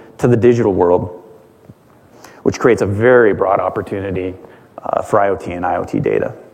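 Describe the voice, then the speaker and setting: A man's voice at a fairly quick pace, with ordinary pitch variation and noticeable background noise. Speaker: engineering director, guest speaker. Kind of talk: conference talk. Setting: conference stage with audience.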